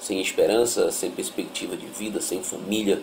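A man talks at a fairly slow pace. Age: 30s. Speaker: former drug addict. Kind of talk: testimony.

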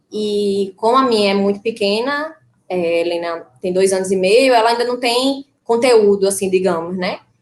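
A woman speaks in a plain, everyday voice at a moderate pace. Her medium pitch shows ordinary variation. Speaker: vegan mother. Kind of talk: live stream conversation.

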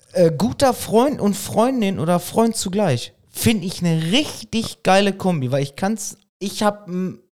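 A man talks at a fairly slow pace. His pitch is high, and his intonation is lively. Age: 30s. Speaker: podcast co-host. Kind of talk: casual chat.

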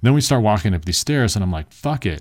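The recording is very clean and the background silent. A man talks with lively intonation. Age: 30s. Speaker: podcast host and dating coach. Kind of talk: sales pitch; casual monologue. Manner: rambling, informal.

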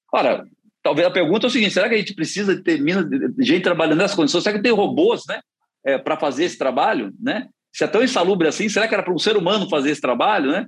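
Talking at a very fast pace, a man uses a high pitch and lively intonation. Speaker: politician. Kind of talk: interview.

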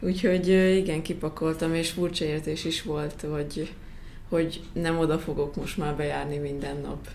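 With audible room echo, a woman speaks in a very deep, low pitch with monotone, flat intonation. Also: moderate pace. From Hungary, Szekszárd. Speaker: professional basketball player. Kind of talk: interview.

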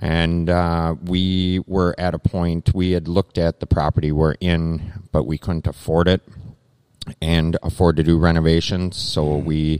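Very deep and low, a man's monotone, flat voice with an Upper Midwest accent comes through dry and close with no echo on a very clean recording with a silent background. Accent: Upper Midwest (Minnesota). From Minnesota, Lake Minnetonka area. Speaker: brewery owner. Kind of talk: interview. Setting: live at a brewery.

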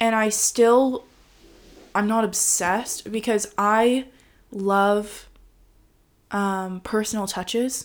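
In a Californian accent, the speaker goes very slowly with long, frequent pauses and a monotone, flat intonation on a very clean recording with a silent background. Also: woman. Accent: Californian American. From US, Los Angeles. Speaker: host's partner. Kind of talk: casual chat. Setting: at home on the sofa.

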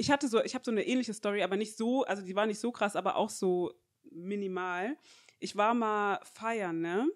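The speaker has a normal speaking voice with ordinary pitch variation. The pace is fairly quick. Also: woman, medium pitch for a woman. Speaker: podcast co-host. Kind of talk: casual chat.

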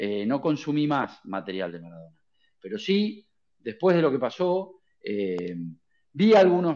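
A man at a fairly slow pace, pitch swinging very widely, against a quiet background. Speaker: journalist. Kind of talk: casual chat. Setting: online audio space. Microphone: new headphones.

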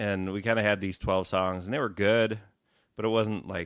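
A man with an unremarkable speaking voice talks at a moderate pace and a fairly low pitch. The recording is very clean, with a silent background. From Wisconsin. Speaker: rock guitarist. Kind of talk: casual interview chat.

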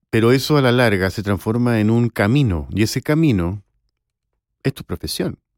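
A man with a normal speaking voice, medium pitch, lively intonation and a moderate pace, in a dry, close sound with no echo and a very clean recording with a silent background. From Chile. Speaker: voice actor and former university professor. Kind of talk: interview.

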